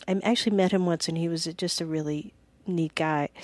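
A woman with a Southern US accent, recorded very cleanly against a silent background, in a dry, close sound with no echo. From US South (Alabama and Georgia). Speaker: comedian. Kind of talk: casual chat. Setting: studio. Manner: soft-spoken; quiet, not loud.

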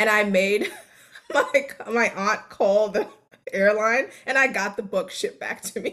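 With a normal speaking voice and an American accent, a woman talks fairly slowly at medium pitch with ordinary pitch variation. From New York City, Queens. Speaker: time management coach. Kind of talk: casual chat.

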